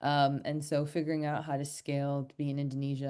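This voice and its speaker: Over a quiet background, a woman with an American accent speaks at a very deep, low pitch in a dark, mellow tone. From United States. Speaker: fintech startup executive. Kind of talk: online panel interview.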